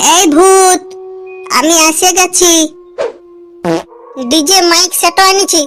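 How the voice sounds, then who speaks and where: A cartoonish character voice at a very slow pace, with clear music in the background. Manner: colloquial, rustic.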